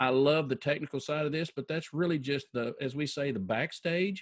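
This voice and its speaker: Over a quiet background, a man with an unremarkable speaking voice talks at a fairly quick pace and a fairly high pitch. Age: 50s. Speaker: financial advisor. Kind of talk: interview.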